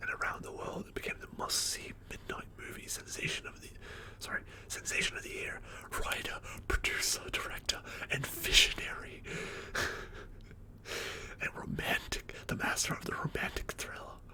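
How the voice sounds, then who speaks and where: A man's whisper in a relaxed tone, broken by long, frequent pauses, over noticeable background noise. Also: moderate pace, big swings in loudness. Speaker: ASMR / film collection streamer. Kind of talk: ASMR ramble about movie collection, casual talk to camera. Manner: whispered, soft-spoken, relaxed.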